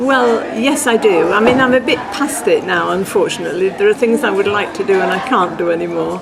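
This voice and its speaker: A woman with an English accent speaks at a moderate pace. Music plays in the background, and audible room echo can be heard. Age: 80s+. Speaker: churchgoer, former lay preacher. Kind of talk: interview. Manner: halting.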